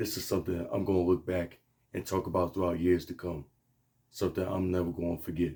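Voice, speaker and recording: Very fast and flat in a monotone, a man speaks with a very deep, low pitch, a dark, mellow tone and a somewhat breathy quality. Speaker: sports fan vlogger. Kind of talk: casual video review.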